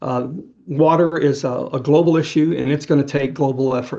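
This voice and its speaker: This man has a fairly high pitch and a dark, mellow tone, with an American accent. His intonation stays fairly even. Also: quiet background. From Texas. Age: 60s. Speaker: conservation photographer and storyteller. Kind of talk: interview conversation. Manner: hesitant, with fillers and repeated words.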